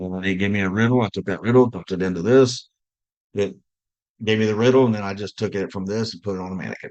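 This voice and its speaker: Talking at a very fast pace with big swings in loudness, a man keeps a fairly low pitch and fairly even intonation. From US South. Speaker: director of simulation, healthcare education. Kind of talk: podcast interview.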